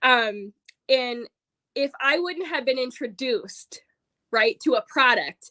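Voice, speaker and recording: In a raised, projected voice with a bright, sharp tone and an American accent, the speaker sounds animated at a fairly slow pace, the sound dry and close with no echo. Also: woman. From Michigan (Roscommon). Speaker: direct sales consultant. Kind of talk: sales pitch.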